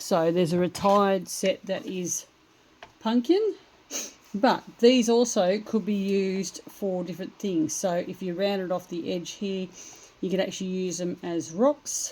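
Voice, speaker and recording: This woman's voice has a dark, mellow tone at a medium pitch. She speaks at a fairly slow pace. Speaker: craft demonstrator. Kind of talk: tutorial. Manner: casual, hesitant with fillers.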